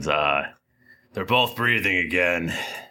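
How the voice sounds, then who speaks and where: Very deep and low in pitch, a man speaks in a raspy, put-on character voice. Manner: weary, relieved, announcing good news.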